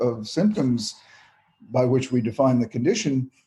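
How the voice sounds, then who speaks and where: A somewhat breathy man at medium pitch, with a dark, mellow tone and a moderate pace. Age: 70s. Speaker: psychiatrist. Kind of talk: interview. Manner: animated; halting.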